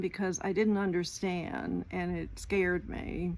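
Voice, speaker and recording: A woman talks at a moderate pace. The room echo is audible. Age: 60s. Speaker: retired vlogger. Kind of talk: casual talking-head vlog. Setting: outdoors at home, porch and yard. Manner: halting, with filler words.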